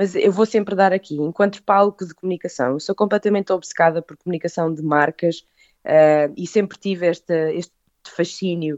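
In a normal speaking voice, a woman talks at a moderate pace and a fairly low pitch, her intonation fairly even but her loudness swinging widely. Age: 30s. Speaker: food business owner. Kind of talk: interview.

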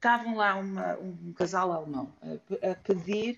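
Lively intonation in a woman's voice of medium pitch. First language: English (speaking Portuguese). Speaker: illustrator. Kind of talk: casual chat. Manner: halting.

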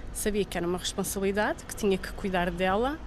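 Audible room echo around a woman's voice, its pitch varying in an ordinary way. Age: 30s. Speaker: mother. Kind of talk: testimony.

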